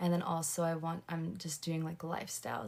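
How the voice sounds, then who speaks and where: A woman's plain, everyday voice, fairly low in pitch, at a moderate pace with fairly even intonation. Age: 20s. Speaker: lifestyle livestreamer. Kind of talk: casual livestream chat. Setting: livestream at home. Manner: rambling, filler-heavy.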